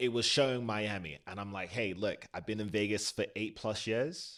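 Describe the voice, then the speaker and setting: A man's fairly low voice, animated in tone, at a moderate pace with ordinary pitch variation, in a very clean recording with a silent background. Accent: British. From South Florida (Broward County). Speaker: podcast co-host, stage performer. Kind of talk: casual chat.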